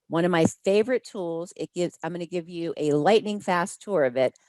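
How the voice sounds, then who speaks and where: A woman with a normal speaking voice and a fairly low pitch talks at a moderate pace with lively intonation, the sound dry and close with no echo. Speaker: hospitality sales trainer. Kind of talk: webinar presentation.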